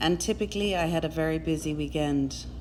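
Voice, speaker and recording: Against audible room echo, a woman with an Irish accent speaks at a moderate pace. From Ireland, Cork. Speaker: endurance rider. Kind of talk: personal testimony.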